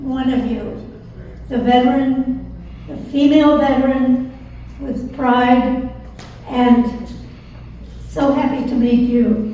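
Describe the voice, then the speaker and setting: At a very slow pace, a woman speaks in a high pitch with monotone, flat intonation, long, frequent pauses and big swings in loudness, with noticeable background noise and audible room echo. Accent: American. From Virginia. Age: 80s+. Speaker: war veteran. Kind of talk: testimony. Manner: halting.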